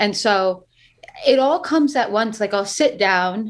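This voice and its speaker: A woman with a slight New York accent, medium-pitched, lively intonation, moderate pace. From US Northeast. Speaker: singer-songwriter. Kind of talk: casual interview.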